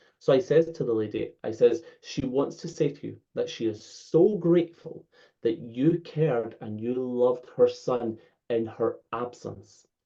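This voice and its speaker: A man speaks in a Scottish accent at a fairly slow pace, his tone dark and mellow. His pitch is medium with ordinary pitch variation, and his loudness swings widely. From Scotland. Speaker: spiritual medium. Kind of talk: interview answer, storytelling.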